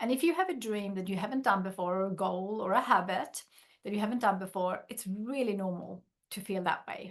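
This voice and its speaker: This woman talks at a fairly quick pace, her medium pitch showing ordinary variation. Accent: Swedish. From Sweden. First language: Swedish. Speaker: workshop facilitator and business founder. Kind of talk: workshop.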